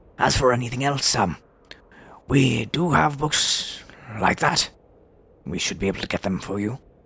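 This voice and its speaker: A raspy, put-on character voice moves at a moderate pace with lively intonation and long, frequent pauses. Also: man, medium pitch for a man. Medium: actual play. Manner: polite, formal.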